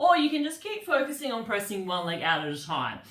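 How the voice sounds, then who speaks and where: Against noticeable background noise and audible room echo, a woman speaks at a moderate pace with very wide pitch swings. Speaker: pilates instructor. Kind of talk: guided fitness class.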